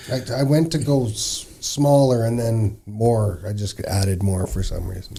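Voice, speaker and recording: With noticeable background noise behind him, a man speaks fairly slowly at a medium pitch, with ordinary pitch variation and hardly any pauses. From Fort Nelson, northern British Columbia, Canada. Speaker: oil portrait artist. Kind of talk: casual interview chat. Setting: literacy centre, filmed podcast. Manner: hesitant, casual.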